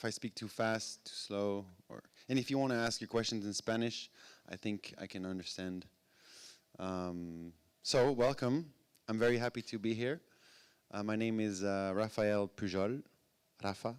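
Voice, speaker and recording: Pausing long and often, a man at a fairly low pitch speaks at a moderate pace with ordinary pitch variation. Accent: French. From France. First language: French. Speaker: music industry executive and DJ. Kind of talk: talk to live audience. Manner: halting, many fillers.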